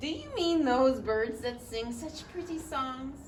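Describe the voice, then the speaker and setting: A loud, female-sounding put-on character voice speaks at a high pitch and a fairly slow pace. Clear background noise sits behind it. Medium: read story. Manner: loud, hearty.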